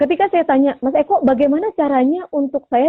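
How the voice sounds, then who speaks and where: A loud, energetic woman speaks at a fairly quick pace in a high voice. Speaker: voice coach. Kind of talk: radio talk show interview.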